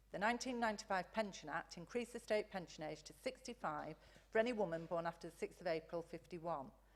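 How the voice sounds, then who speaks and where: In a Lancashire accent, a woman talks very fast at a medium pitch, with ordinary pitch variation and big swings in loudness. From northern England, Blackpool. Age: 60s. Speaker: campaigner speaking at council meeting. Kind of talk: prepared public statement.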